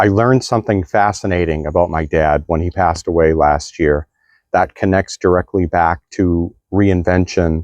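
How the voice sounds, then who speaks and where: The speech moves at a moderate pace with fairly even intonation, in a dry, close sound with no echo and a quiet background. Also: man. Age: 60s. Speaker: vlogger on midlife reinvention. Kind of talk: personal storytelling monologue. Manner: halting, with many fillers.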